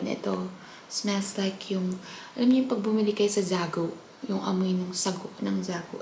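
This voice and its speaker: A woman's moderate-paced speech is heard against noticeable background noise. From Philippines. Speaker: vlogger. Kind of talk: casual vlog talk. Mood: relaxed, a bit emotional at end. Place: kitchen. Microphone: phone near.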